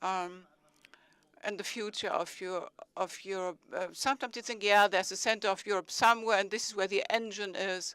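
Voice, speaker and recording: A woman with a German accent and medium pitch talks with fairly even intonation, in dry, close sound with no echo on a very clean recording with a silent background. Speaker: city mayor. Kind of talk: conference speech.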